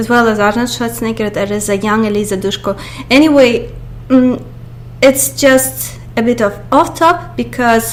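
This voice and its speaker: A woman speaks with a Russian accent over noticeable background noise. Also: moderate pace. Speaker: YouTuber. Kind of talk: movie review monologue. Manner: halting, many fillers.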